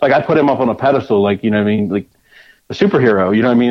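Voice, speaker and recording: Here a man speaks at a medium pitch with a slight Northeastern US accent. His pitch variation is ordinary. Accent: slight Northeast US. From Delaware. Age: 40s. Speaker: railroad worker and mini truck enthusiast. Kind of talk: casual interview.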